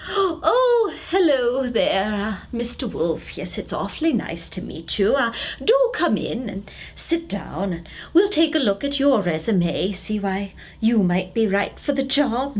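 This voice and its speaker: Over light background noise, a woman puts on a character voice. It is fairly high-pitched and fairly slow. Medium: read story. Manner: fluttery, hesitant, polite.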